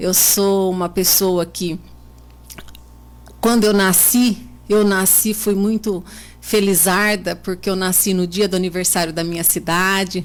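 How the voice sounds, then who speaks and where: Monotone and flat, a woman speaks at medium pitch and a fairly slow pace. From Brazil, São Paulo state (Botucatu). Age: 40s. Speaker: local politician, mayoral candidate. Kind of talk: radio interview.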